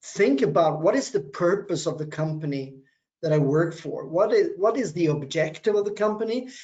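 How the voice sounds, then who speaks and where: High-pitched man at a moderate pace with lively intonation. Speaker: business lecturer. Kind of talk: webinar talk. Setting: online webinar. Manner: hesitant with fillers.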